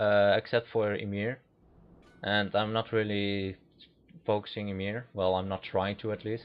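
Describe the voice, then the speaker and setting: A man with a Dutch accent, fairly low in pitch, at a moderate pace with monotone, flat intonation and long, frequent pauses. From Netherlands. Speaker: gaming commentator. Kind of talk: gameplay commentary. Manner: halting.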